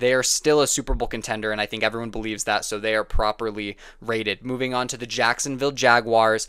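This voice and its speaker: The recording is very clean, and the background is completely silent. A man talks in a bright, sharp tone. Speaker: sports commentator. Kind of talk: casual monologue.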